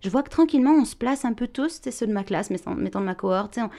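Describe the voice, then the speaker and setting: Her voice has a dark, mellow tone and a fairly high pitch for a woman. She uses lively intonation over a quiet background. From France. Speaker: actress and voice actor. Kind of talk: interview. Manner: bright, sparkling energy.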